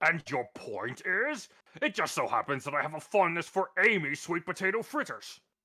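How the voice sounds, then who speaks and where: A man uses a put-on character voice pitched high. His pitch swings very widely at a moderate pace. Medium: fan dub. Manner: brusque, accusatory.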